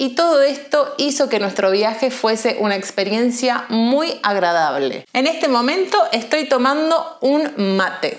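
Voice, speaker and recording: A woman with a high pitch speaks fairly slowly, her intonation lively and her loudness very even, over noticeable background noise. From Argentina, Buenos Aires. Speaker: Spanish teacher. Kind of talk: language lesson monologue. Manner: clear.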